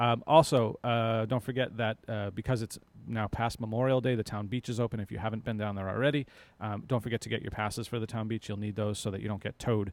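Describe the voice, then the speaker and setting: Very fast, upbeat speech from a man at medium pitch. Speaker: local cable TV station director and host. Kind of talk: live local TV talk show. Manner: casual, upbeat. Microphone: mic close in front of mouth.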